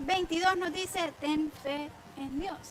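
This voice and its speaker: A woman talks with a bright, sharp tone and fairly even intonation. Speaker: women's ministry Bible teacher. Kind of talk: online Bible teaching program.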